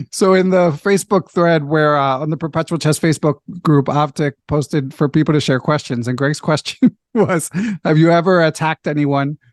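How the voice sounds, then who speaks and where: A man with an American accent has a normal speaking voice at a fairly high pitch with ordinary variation. He keeps a moderate pace, and the sound is dry and close with no echo. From US Northeast (Philadelphia). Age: 40s. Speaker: chess podcast host and national master. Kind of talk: casual interview chat. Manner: frequent fillers and self-corrections.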